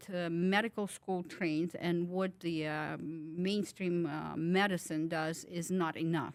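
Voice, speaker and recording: A woman with a Ukrainian accent, fairly low pitch, fairly even intonation, a fairly slow pace and hardly any pauses. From Ukraine. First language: Ukrainian or Russian. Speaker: wellness clinic owner. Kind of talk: interview. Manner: halting, many fillers.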